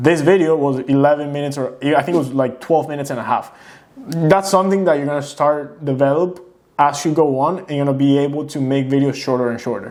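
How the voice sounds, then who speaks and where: A man with a non-native accent talks at a fairly quick pace, his intonation fairly even. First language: not English. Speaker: YouTuber. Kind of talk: casual reaction commentary. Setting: sit-down home video.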